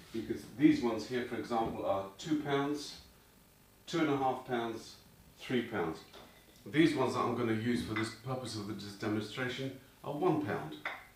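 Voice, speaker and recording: Against noticeable background noise and audible room echo, a man speaks with ordinary pitch variation. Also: medium pitch for a man, moderate pace. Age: 60s. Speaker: fitness instructor. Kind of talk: tutorial.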